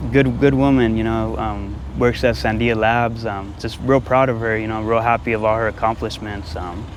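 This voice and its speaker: Audible room echo surrounds a man's medium-pitched voice. He talks at a moderate pace with ordinary pitch variation and hardly any pauses. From Albuquerque, New Mexico. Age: 30s. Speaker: homeless man. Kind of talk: street interview.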